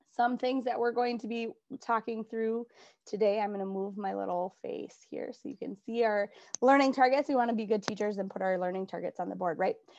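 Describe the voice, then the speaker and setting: Against a quiet background, a woman at a fairly high pitch speaks at a fairly quick pace with ordinary pitch variation. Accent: strong Minnesota. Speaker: adapted physical education teacher. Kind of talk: conference presentation. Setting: virtual conference recording.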